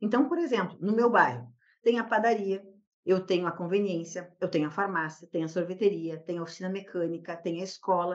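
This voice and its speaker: Speaking at a fairly quick pace, a woman with an ordinary speaking voice holds a medium pitch with ordinary pitch variation. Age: 40s. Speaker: tax lawyer and law professor. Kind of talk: podcast interview.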